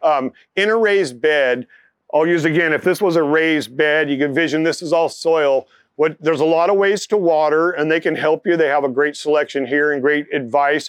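With an American accent, a man speaks in a plain, everyday voice at a fairly quick pace, his fairly high pitch showing ordinary variation against a quiet background. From US West Coast (San Francisco Bay Area). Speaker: tomato farmer and seed breeder. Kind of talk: lecture.

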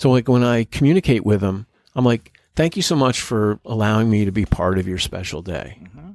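On a very clean recording with a silent background and a dry, close sound with no echo, a man speaks in a plain, everyday voice. He's fairly low in pitch, fairly quick in pace, with lively intonation and big swings in loudness. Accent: American. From New Jersey. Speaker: business owner. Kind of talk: casual chat. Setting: outdoors by the ocean.

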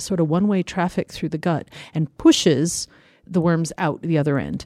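A woman's dark, mellow tone in a dry, close sound with no echo, a very clean recording with a silent background. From US, Colorado. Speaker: evolutionary ecology professor. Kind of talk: interview. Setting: studio.

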